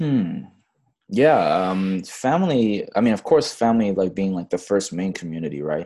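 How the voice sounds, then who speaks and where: Here a man speaks with lively intonation and a dark, mellow tone. The recording is very clean, with a silent background. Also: fairly low pitch for a man, moderate pace. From Fiji-born, raised in Australia and Bangladesh. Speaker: community startup director. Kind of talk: interview conversation.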